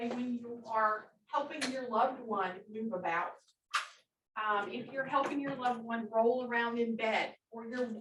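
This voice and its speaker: In a plain, everyday voice, a woman speaks at a fairly slow pace, her fairly high pitch carried by fairly even intonation. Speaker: occupational therapist. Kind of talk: workshop presentation.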